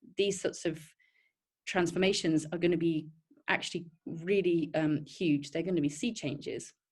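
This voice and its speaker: A woman with a fairly low, somewhat breathy voice speaks with long, frequent pauses. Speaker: writer and storyteller. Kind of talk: panel discussion on video call. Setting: video call. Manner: fast.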